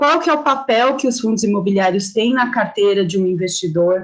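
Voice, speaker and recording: A woman's unremarkable speaking voice at a moderate pace, full of lively intonation. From Brazil, São Paulo. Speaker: investment educator. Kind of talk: online lecture.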